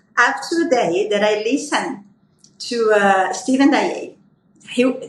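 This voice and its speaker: Her voice high-pitched, a woman speaks with lively intonation and audible room echo. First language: Portuguese. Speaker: aesthetic physician. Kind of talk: panel discussion.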